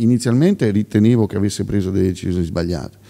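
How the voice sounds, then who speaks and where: Against a quiet background, a man talks in a dark, mellow tone with a fairly low pitch. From Marche, Pesaro area (Piobbico); Marche, Italy. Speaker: regional election candidate, former mayor; election candidate. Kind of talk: political interview; political interview answer. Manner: halting, many fillers and repetitions. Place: hall. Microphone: studio mic.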